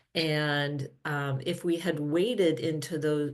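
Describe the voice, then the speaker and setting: A woman's very deep, low pitch with an American accent, amid audible room echo. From US Midwest, Minnesota. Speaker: physical therapy professor and researcher. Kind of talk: conference presentation. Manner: hesitant, many filler ums.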